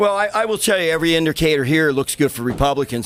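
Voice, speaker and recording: A man talks in a Philadelphia accent. Background noise is noticeable. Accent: Philadelphia-area American. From US, Pennsylvania, Montgomery County. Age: 60s. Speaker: local Republican party official. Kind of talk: live interview.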